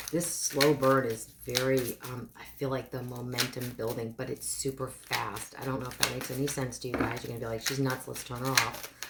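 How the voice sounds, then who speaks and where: Over noticeable background noise, a woman with a very deep, low pitch speaks with hardly any pauses, her monotone, flat intonation paired with big swings in loudness. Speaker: tarot card reader. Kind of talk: tarot love reading. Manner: hesitant, with filler words; fast.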